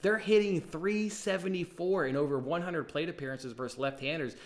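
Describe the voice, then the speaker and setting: A man with an animated tone at a fairly quick pace, hardly any pauses, fairly high pitch and ordinary pitch variation. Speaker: sports betting show host. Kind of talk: sports betting picks show. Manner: fast.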